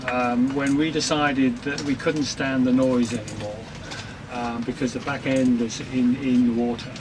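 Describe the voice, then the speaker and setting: A man with an English accent speaks in a monotone, flat intonation over noticeable background noise. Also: medium pitch for a man, moderate pace. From England. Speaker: retired sailor living aboard. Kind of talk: interview. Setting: aboard their sailboat.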